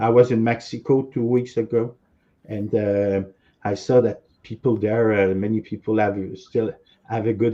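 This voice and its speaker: A man with a strong French accent talks at a moderate pace in a medium pitch. His intonation is monotone and flat. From Quebec. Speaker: author and former cult member. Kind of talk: interview.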